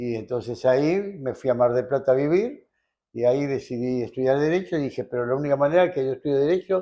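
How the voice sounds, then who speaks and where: Here a man talks with a Rioplatense accent. His voice sits at a medium pitch and has a dark, mellow tone. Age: 80s+. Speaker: lawyer. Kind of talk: interview answer.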